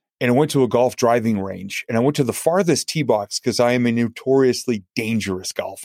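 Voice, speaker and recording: A man speaks in a plain, everyday voice at a medium pitch and fairly quick pace, with hardly any pauses, ordinary pitch variation, and a dry, close sound with no echo. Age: 50s. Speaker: motivational speaker and comedian. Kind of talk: interview.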